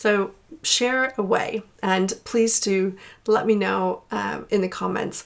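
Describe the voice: A woman with an American accent, slow and with vocal fry, her intonation fairly even. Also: medium pitch for a woman.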